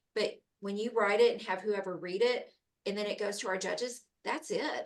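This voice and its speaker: Here is a woman with a plain, everyday voice. Her pitch is fairly high and her pace moderate. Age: 40s. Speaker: program organizer. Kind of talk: panel discussion.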